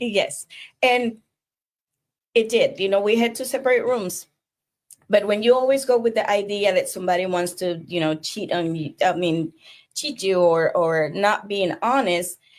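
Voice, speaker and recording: With long, frequent pauses, a woman speaks in a Spanish accent on a very clean recording with a silent background. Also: medium pitch for a woman, ordinary pitch variation, moderate pace. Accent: non-native Spanish-accented English. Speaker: divorce coach. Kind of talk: casual conversational storytelling.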